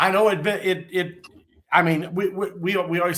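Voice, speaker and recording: A man with a Midwestern US accent, at a moderate pace. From Indiana. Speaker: fishing podcast co-host. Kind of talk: casual chat.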